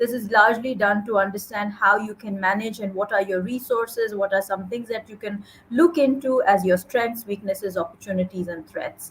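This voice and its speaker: At a moderate pace, a woman with an unremarkable speaking voice talks with ordinary pitch variation. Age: 40s. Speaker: podcast host. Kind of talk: interview conversation.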